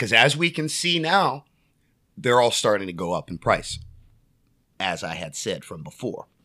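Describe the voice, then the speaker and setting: A man with a medium-pitched voice and vocal fry speaks at a moderate pace in an animated tone, his pitch swinging very widely and his long pauses coming often, on a very clean recording with a silent background. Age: 30s. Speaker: sports card dealer. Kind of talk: casual chat.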